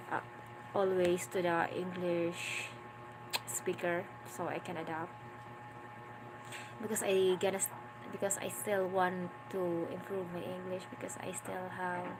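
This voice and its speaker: A woman speaks with a Filipino accent, ordinary pitch variation and long, frequent pauses. The recording has noticeable background noise and audible room echo. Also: fairly low pitch for a woman. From Philippines, Mindanao. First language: Filipino regional language. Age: 20s. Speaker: vlogger, stay-at-home mother. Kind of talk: casual live-stream chat. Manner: halting, repeats words.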